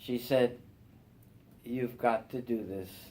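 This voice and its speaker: A dark, mellow tone with a New York accent moves at a very slow pace. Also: man. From Brooklyn, New York. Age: 70s. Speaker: church member. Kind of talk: testimony. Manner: halting.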